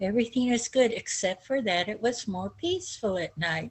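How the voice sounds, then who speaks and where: Somewhat breathy, a woman's voice comes through. She talks at a moderate pace. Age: 70s. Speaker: chronic pain survivor. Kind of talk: personal life story talk.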